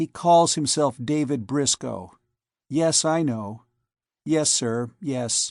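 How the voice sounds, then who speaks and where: A man puts on a character voice and speaks at a very slow pace. The background is quiet. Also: fairly high pitch for a man. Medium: read story. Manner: cool, disdainful.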